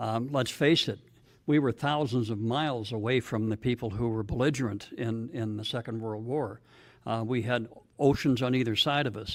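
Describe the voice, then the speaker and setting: A man's plain, everyday voice at medium pitch, fairly even in intonation and moderate in pace, on a very clean recording with a silent background. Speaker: political speaker. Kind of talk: public speech. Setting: stage with audience.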